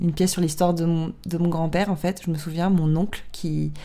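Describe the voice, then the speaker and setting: With monotone, flat intonation, the speaker talks at a fairly quick pace. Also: woman. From southern France, Draguignan area. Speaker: podcast host. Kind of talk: casual chat.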